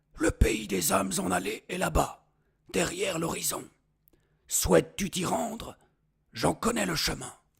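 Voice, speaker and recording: A man's put-on character voice, raspy and high-pitched, at a moderate pace with long, frequent pauses. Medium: read story. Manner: wise, measured.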